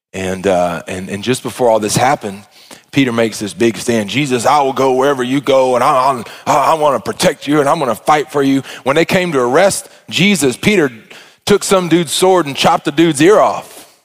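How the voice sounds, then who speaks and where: Speaking in an Arkansas accent, a man moves at a fairly quick pace. His medium-pitched voice has lively intonation. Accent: Southern US (Arkansas). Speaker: pastor. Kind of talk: sermon. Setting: church. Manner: animated.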